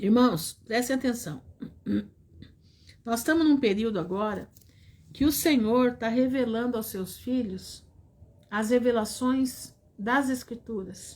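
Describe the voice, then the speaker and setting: At a very slow pace and with long, frequent pauses, a woman speaks in a fairly high pitch. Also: ordinary pitch variation. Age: 60s. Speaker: preacher. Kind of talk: sermon.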